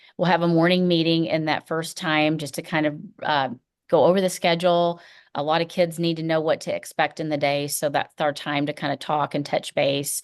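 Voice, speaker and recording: Against a quiet background, a woman with a very deep, low pitch talks in a monotone, flat intonation. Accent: slight Tennessee. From Tennessee. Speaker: first grade teacher. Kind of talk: school welcome presentation to parents. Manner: casual, frequent fillers um and uh.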